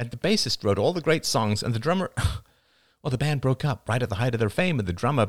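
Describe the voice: It is plain reading aloud with lively intonation.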